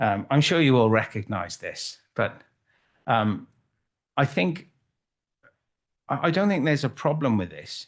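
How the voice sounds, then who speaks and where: A man with a Welsh accent speaks fairly slowly with vocal fry and long, frequent pauses, his medium pitch making very wide swings. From Wales, Cardiff. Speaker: photographer. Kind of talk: conference talk. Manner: halting.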